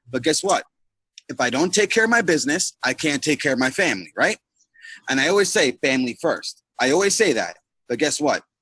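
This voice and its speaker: Loud, bright, sharp male speech at a fairly high pitch, with very wide pitch swings, a fairly quick pace and a dry, close sound with no echo. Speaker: network marketing team leader. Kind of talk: motivational talk on a group call. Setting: online group video call. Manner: animated. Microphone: too quiet.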